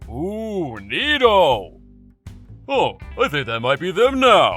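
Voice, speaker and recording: Over faint music in the background, a man uses a put-on character voice at a high pitch and a very slow pace. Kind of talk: comic dub dialogue.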